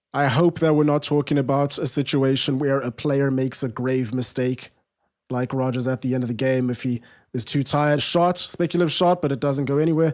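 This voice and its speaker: Fairly quick and fairly even in intonation, a man talks at a fairly high pitch with a South African accent. The recording is very clean, with a silent background. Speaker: football watch-along streamer. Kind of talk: live watch-along commentary. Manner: casual, conversational; quick reactions to live play.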